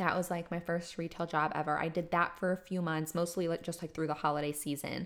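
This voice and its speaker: Upbeat in tone, a woman speaks at a fairly low pitch. The recording is very clean with a silent background. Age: 20s. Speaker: podcast host, graphic designer and fashion stylist. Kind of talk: casual solo monologue. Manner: rambling, chatty with fillers; upbeat, laughs often.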